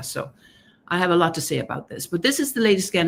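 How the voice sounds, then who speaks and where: Intonation is lively as a woman speaks in a Danish accent. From Denmark, Copenhagen. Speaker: author and gender researcher. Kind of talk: interview on a live stream.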